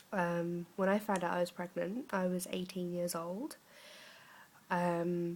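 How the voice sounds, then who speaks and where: A woman's fairly low voice with an English accent, at a fairly slow pace and with fairly even intonation. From England, Norwich, Norfolk. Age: 20s. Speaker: vlogger, young mother. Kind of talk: casual vlog talk. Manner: halting, many fillers.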